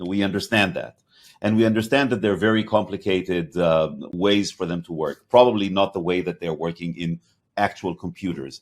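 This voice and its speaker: A man with a slight Hebrew accent talks at a fairly quick pace. His very deep, low voice shows ordinary pitch variation. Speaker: podcast host, company CEO. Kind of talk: interview conversation. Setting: podcast.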